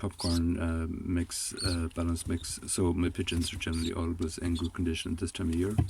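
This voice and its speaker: The speech runs at a moderate pace with hardly any pauses and very even loudness. Intonation is monotone and flat, and the voice is somewhat breathy. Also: man. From Ireland, Galway. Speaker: pigeon and poultry keeper. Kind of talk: tutorial. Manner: hesitant, many fillers.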